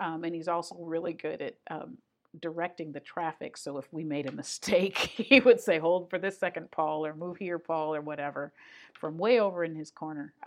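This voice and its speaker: A woman talks at a fairly low pitch and a moderate pace with ordinary pitch variation. Her loudness swings widely against a quiet background. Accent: American. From Michigan. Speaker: opera artistic director. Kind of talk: interview. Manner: animated.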